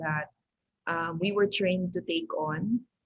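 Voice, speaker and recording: A woman speaks at a very slow pace. Her medium pitch shows ordinary variation. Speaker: educator and school founder. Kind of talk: podcast interview. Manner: code-switching English and Tagalog.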